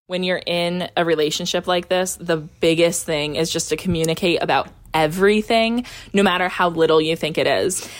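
A woman's fairly low voice at a moderate pace with fairly even intonation, an ordinary speaking voice. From upstate New York. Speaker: member of a thruple. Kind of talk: interview.

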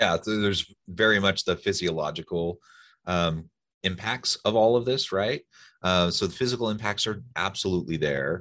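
A man's fairly low, bright, sharp voice with an American accent, at a moderate pace with ordinary pitch variation. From Oregon, US Pacific Northwest. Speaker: podcast host. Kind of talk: interview.

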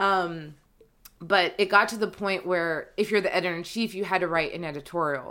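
With an American accent, a woman speaks at a medium pitch and moderate pace in a bright, sharp tone with fairly even intonation, on a very clean recording with a silent background. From North Carolina. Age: 20s. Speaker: editor and copywriter. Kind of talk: casual interview.

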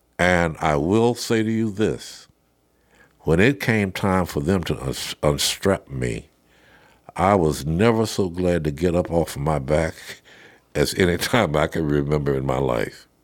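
Speaking with an American accent, a man with a very deep, low pitch talks at a fairly slow pace with lively intonation. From Arkansas, US South. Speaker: retired prison superintendent. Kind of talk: interview testimony.

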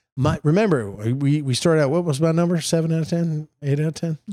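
Very fast speech from a man with an American accent and a dark, mellow tone. The sound is dry and close with no echo, on a very clean recording with a silent background. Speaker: state senator and podcast co-host. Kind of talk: casual political chat.

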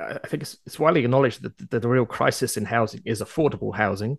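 Using vocal fry, a man at medium pitch shows ordinary pitch variation in a dry, close sound with no echo. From outside Canada. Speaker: podcast host. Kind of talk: interview.

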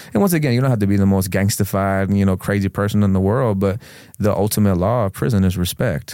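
Talking very fast, a man with an American accent uses a fairly low pitch, ordinary pitch variation, and very even loudness. The recording is very clean with a silent background. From Florida, Sarasota County. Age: 30s. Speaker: former prisoner, rapper. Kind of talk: interview testimony.

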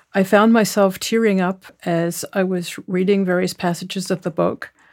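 A woman with a New Zealand accent speaks at a medium pitch and a fairly slow pace with monotone, flat intonation, on a very clean recording with a silent background. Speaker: genetic genealogist and author. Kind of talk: author interview monologue.

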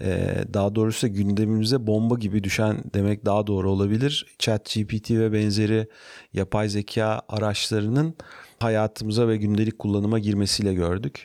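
Over a silent background in a very clean recording, a man talks at a moderate pace in a dark, mellow tone, his fairly low pitch held in monotone, flat intonation. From Turkey, Ankara. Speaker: startup founder and CEO. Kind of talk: interview.

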